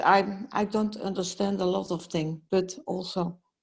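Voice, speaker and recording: A woman with a Dutch accent, somewhat breathy, medium in pitch with ordinary pitch variation, at a fairly slow pace. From Netherlands. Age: 70s. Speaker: healer. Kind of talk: personal consultation. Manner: halting.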